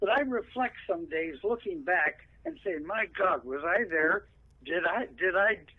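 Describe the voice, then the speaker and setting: Lively intonation marks a man's high-pitched voice, which moves at a fairly slow pace with a Pacific Northwest accent. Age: 80s+. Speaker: veteran radio broadcaster. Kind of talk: interview.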